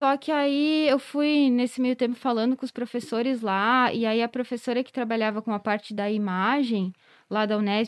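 This woman has an unremarkable speaking voice, fairly high in pitch, with fairly even intonation at a moderate pace. The recording is very clean with a silent background and a dry, close sound with no echo. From southern Brazil, Rio Grande do Sul (Carlos Barbosa, Serra Gaúcha). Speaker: veterinary cardiologist. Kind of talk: podcast interview.

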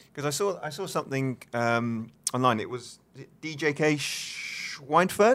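A man's fairly high voice, an ordinary speaking voice, with lively intonation at a fairly slow pace. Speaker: podcast co-host and former coach. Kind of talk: casual interview.

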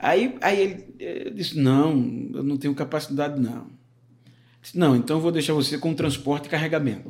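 This man has an unremarkable speaking voice with a fairly high pitch. He keeps a moderate pace, and his pitch varies in an ordinary way. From Alagoas, Brazil. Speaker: pastor. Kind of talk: casual interview, life testimony.

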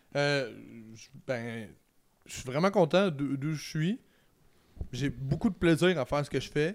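A very slow pace with long, frequent pauses and ordinary pitch variation. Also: man, fairly high pitch for a man, very clean recording, silent background. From Quebec, Trois-Rivières. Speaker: sports analyst and former university football player. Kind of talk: casual interview chat. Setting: home garage studio.

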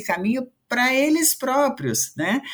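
The woman's voice moves in very wide pitch swings. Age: 50s. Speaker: diversity and inclusion consultant. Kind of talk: casual chat.

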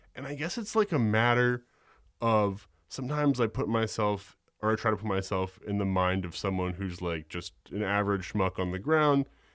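With an American accent, a man talks at a moderate pace in a fairly low voice. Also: ordinary pitch variation. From New York City. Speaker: history podcaster. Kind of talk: casual interview. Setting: home studio, remote. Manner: hesitant with many fillers.

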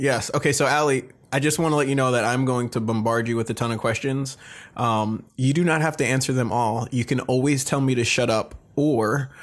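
Loudness stays very even at a fairly quick pace. The recording is very clean, with a silent background. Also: man, medium pitch for a man. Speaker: podcast host. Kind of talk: casual interview. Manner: enthusiastic, animated.

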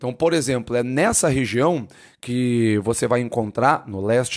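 Over a silent background in a very clean recording, a man speaks at a medium pitch in an animated tone. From Brazil, Curitiba, Paraná. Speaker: teacher. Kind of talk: casual lecture.

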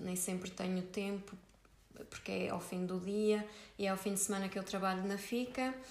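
With a European Portuguese accent, a woman speaks at a moderate pace in a monotone, flat intonation, and audible room echo surrounds her voice. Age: 20s. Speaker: optometrist and small business founder. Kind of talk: casual interview.

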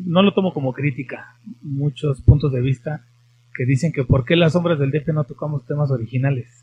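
A man's somewhat breathy, fairly high-pitched voice at a moderate pace. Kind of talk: interview and casual chat. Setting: studio, streamed live on Facebook.

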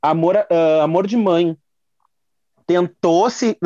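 The sound is dry and close with no echo as a man speaks at a fairly high pitch with ordinary pitch variation. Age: 20s. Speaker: drag queen and telemarketing attendant. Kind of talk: casual chat.

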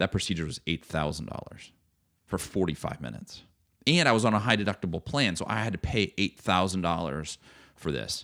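A man speaks fairly quickly with lively intonation, his very deep, low pitch carrying vocal fry and a bright, sharp tone. The recording is very clean, with a silent background. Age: 40s. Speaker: entrepreneur. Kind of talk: casual chat. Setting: studio.

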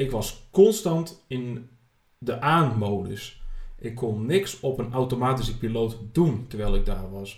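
At a very slow pace, a man with a somewhat breathy, medium-pitched voice speaks with lively intonation. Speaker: podcast host. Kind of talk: personal monologue.

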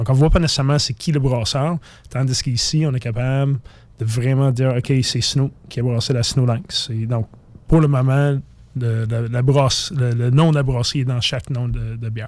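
In an English accent, a man speaks at a moderate pace with a medium pitch and fairly even intonation. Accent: English-speaker accent in French. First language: English (speaking French). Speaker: craft brewer. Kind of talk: casual radio interview.

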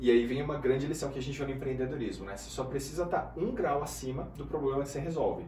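Speech races along at a very fast pace with hardly any pauses and fairly even intonation, in a São Paulo accent. Audible room echo and noticeable background noise are present. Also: man, fairly high pitch for a man, big swings in loudness. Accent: São Paulo Brazilian Portuguese. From Brazil, Guarulhos (São Paulo). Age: 30s. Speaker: business mentor. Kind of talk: casual interview.

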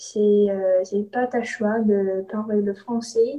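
Speaking at a very slow pace, a woman uses a fairly high pitch and a somewhat breathy voice. Her intonation stays monotone and flat. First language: English (speaking French). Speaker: student podcast host. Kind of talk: casual interview chat. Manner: halting, hesitant.

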